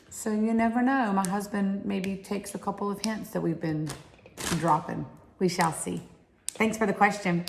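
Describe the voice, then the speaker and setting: Delivered at a moderate pace with fairly even intonation, this Southern accent comes through over noticeable background noise. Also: woman, medium pitch for a woman. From Alabama.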